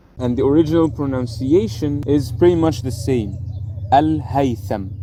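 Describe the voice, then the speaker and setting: A man speaks with an Arabic accent. His medium-pitched voice has lively intonation. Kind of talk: casual educational explainer to camera.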